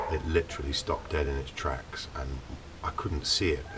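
Loud background noise fills the clip. The speech moves at a moderate pace. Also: man. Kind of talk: casual vlog chat. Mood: relaxed storytelling. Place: open country. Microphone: camera far.

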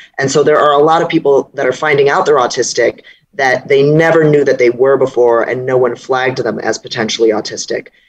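Fairly quick delivery over light background noise. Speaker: remote interview guest. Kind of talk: interview answer. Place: home room. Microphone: earbuds.

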